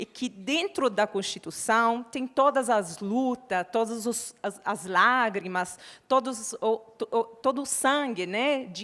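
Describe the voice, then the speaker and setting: A woman with an Italian accent talks at a fairly slow pace in a fairly high voice, her intonation lively. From Italy. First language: Italian (speaking Portuguese). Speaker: panel moderator. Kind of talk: panel moderation.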